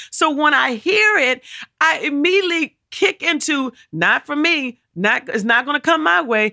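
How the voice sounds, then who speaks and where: Projecting her voice at a moderate pace, a woman speaks with a high, bright and sharp tone and very wide pitch swings, in a dry, close recording with no echo. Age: 50s. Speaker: co-pastor and podcast host. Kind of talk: sermon-style teaching.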